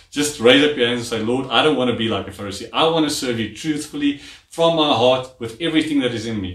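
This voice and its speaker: A man talks at a very fast pace with hardly any pauses and big swings in loudness. His pitch varies in an ordinary way, with audible room echo. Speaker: preacher. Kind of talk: sermon. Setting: church garage livestream. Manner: animated, call-and-response, urging the congregation to say amen; warm, chatty, fluent. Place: home room.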